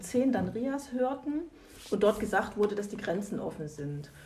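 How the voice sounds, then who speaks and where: A woman with a fairly high pitch speaks at a moderate pace, with audible room echo and noticeable background noise. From East Germany. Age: 50s. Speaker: lawyer. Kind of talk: interview. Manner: hesitant, many fillers.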